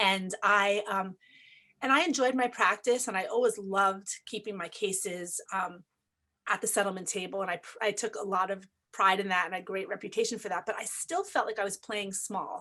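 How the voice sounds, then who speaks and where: A woman's medium-pitched voice with an American accent, bright and sharp in tone, at a moderate pace with ordinary pitch variation. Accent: New York, slightly diluted. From New York. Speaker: family law attorney and mediator. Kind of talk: interview.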